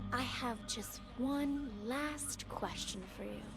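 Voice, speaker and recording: Loud background noise runs under a woman doing a put-on character voice at a very slow pace. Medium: video game. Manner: calm, measured.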